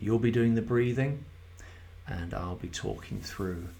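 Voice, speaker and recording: Over music in the background, a man speaks with ordinary pitch variation, and audible room echo surrounds his voice. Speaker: mindfulness guide. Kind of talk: guided meditation. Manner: slow; soft-spoken.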